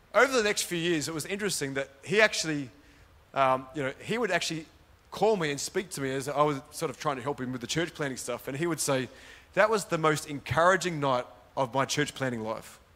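Fairly quick speech in an Australian accent, with lively intonation and a bright, sharp tone. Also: man, fairly high pitch for a man. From Sydney, Australia. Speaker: pastor. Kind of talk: sermon. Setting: church with live audience.

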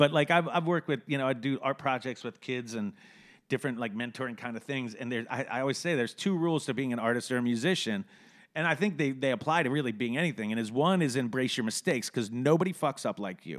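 A man with an American accent talks very fast at medium pitch, his pitch varying in an ordinary way. The recording is very clean and the background silent. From Maryland, Annapolis area. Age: 40s. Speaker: musician and magazine publisher. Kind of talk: casual interview.

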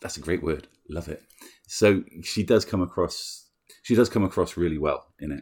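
A man's very deep, low, somewhat breathy voice with a British accent, ordinary pitch variation and a moderate pace. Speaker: film podcast host. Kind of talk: casual chat.

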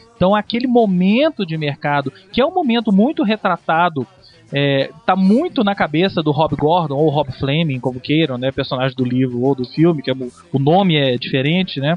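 The speaker has a plain, everyday voice. Intonation is lively, and the pace stays moderate. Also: man, fairly high pitch for a man. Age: 30s. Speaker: music journalist. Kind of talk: casual chat. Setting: studio.

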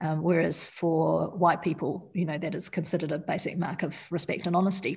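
A woman speaks at a moderate pace with a New Zealand accent, her fairly low voice somewhat breathy. The recording is very clean, with a silent background. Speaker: surgeon. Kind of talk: interview. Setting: studio.

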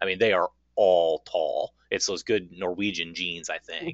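Speaking fairly slowly, a man has a normal speaking voice with an American accent. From Minnesota, Minneapolis. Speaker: card game podcaster and tournament organizer. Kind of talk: casual chat.

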